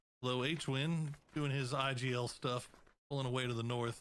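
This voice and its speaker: This man's voice sits at a medium pitch. His tone is bright and sharp. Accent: American. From Texas. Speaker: esports caster. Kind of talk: live commentary; casual chat.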